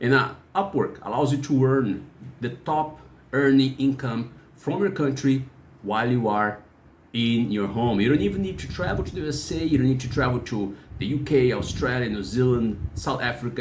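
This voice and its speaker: Against audible room echo, a man talks at a fairly quick pace with lively intonation. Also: medium pitch for a man. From Brazil. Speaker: freelancer and YouTuber. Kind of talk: channel intro talk. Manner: halting, with fillers.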